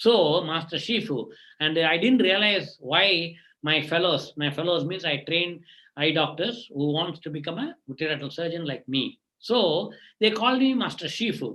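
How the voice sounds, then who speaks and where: A man speaks at a moderate pace. His voice is high-pitched for a man, with lively intonation. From India, Tamil Nadu. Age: 60s. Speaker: eye surgeon. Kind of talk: motivational talk to students. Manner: halting.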